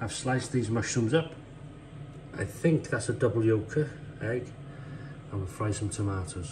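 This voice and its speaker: A man with a fairly low pitch and ordinary pitch variation speaks at a moderate pace against noticeable background noise. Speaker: home cook vlogger. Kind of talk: casual vlog chat. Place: kitchen. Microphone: phone near.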